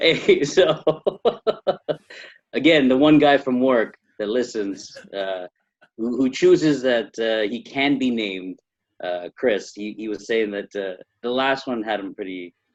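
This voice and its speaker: Delivery is fairly slow, with long, frequent pauses. Loudness swings widely while pitch variation stays ordinary. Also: man, medium pitch for a man. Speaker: comedian and podcast co-host. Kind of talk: casual chat. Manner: energetic.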